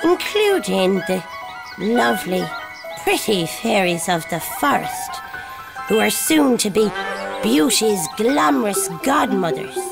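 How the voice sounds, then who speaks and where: With loud music in the background, a cartoonish character voice at a middle pitch speaks at a fairly slow pace. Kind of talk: read story.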